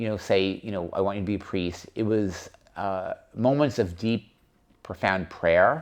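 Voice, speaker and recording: Someone with an American accent talks at a moderate pace with ordinary pitch variation. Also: man. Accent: occasional New York. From New York, Long Island. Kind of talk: interview, personal testimony.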